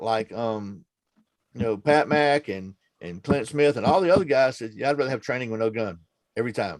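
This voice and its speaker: Here a man speaks in an unremarkable speaking voice at medium pitch. His pace is fairly quick and his intonation lively. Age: 60s. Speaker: firearms training channel host. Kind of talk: casual chat. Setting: video call.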